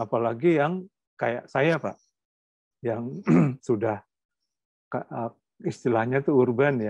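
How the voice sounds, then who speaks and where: In a dry, close sound with no echo, a man with a medium pitch and ordinary pitch variation speaks at a very slow pace, leaving long, frequent pauses. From Jakarta, Indonesia. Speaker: culture and comics scholar. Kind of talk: interview conversation. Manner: hesitant, many fillers.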